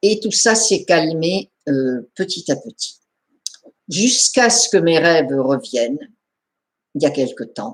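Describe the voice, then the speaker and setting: Very slow and with long, frequent pauses, a woman speaks at a fairly low pitch. Her pitch swings very widely. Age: 70s. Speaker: therapist. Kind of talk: personal testimony. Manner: repetitive, hesitant.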